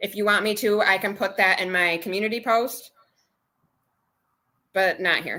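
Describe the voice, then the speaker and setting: A woman speaks loudly at a moderate pace and medium pitch, with a bright, sharp tone. Her intonation is fairly even, and she leaves long, frequent pauses. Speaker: budgeting livestreamer. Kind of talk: casual livestream chat.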